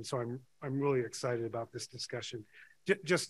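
This man's voice comes across as somewhat breathy. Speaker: panel chair. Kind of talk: conference opening remarks. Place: hall. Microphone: podium.

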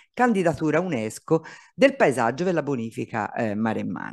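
Against a quiet background, the voice swings very widely in pitch. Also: man. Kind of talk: conference presentation. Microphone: video call.

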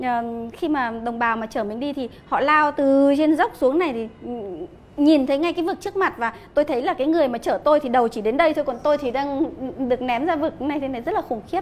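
A woman speaks at a fairly quick pace in a high voice, with ordinary pitch variation. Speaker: interview guest. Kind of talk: interview answer. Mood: animated storytelling. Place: cafe. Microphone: lapel.

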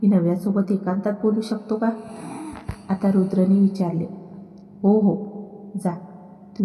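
This is plain reading aloud. Its intonation stays fairly even.

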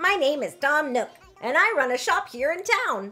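A put-on character voice with a high pitch moves at a moderate pace over faint music in the background. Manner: warm, welcoming.

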